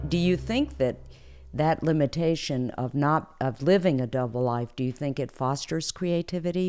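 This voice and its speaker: A woman's voice has a dark, mellow tone. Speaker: podcast host. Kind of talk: interview.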